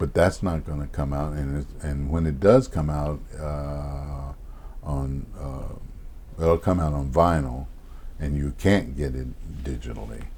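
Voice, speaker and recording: Speaking at a fairly slow pace, a man with a very deep, low voice is heard over noticeable background noise and audible room echo. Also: fairly even intonation. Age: 70s. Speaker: jazz bassist and composer. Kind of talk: interview. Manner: halting.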